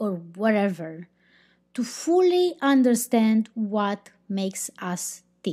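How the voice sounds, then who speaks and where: Very slow-paced woman with a fairly high pitch and a Romanian accent, her pitch swinging very widely, on a very clean recording with a silent background. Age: 30s. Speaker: podcast host. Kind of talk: casual podcast monologue. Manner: halting, unscripted.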